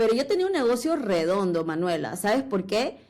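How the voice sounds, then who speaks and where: Her tone is dark and mellow. The woman's pitch is medium. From Peru, Lima. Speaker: entrepreneur. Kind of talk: interview.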